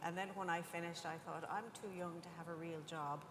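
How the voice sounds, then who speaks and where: Audible room echo surrounds a woman speaking at a fairly low pitch with an Irish accent. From Ireland. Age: 50s. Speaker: scientist and industry panelist. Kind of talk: panel discussion.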